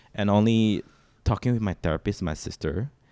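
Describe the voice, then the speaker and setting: A man with a Mandarin accent speaks at a fairly low pitch. His tone is dark and mellow, with ordinary pitch variation. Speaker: singer-songwriter. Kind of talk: emotional interview conversation. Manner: halting.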